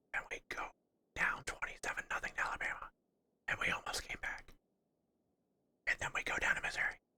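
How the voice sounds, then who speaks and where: Whispering at a very fast pace, broken by long, frequent pauses. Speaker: streamer. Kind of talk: casual chat.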